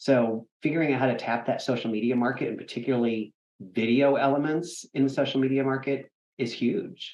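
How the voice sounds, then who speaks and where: A man speaks at a medium pitch and a fairly quick pace, keeping his intonation fairly even. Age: 50s. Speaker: theatre executive director. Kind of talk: interview. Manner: halting.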